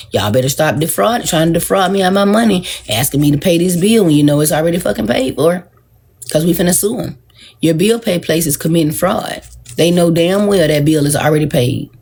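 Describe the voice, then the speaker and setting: Somewhat breathy and fairly low-pitched, a woman talks at a fairly quick pace with lively intonation and very even loudness. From US South, Georgia. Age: 40s. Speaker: social media livestreamer. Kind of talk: casual livestream talk. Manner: animated.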